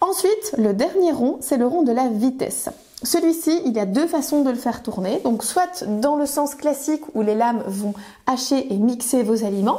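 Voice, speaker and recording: A woman's high, lively voice at a moderate pace, very even in loudness, with noticeable background noise. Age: 30s. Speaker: kitchen appliance sales consultant. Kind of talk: product demonstration tutorial. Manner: frequent hesitations (euh).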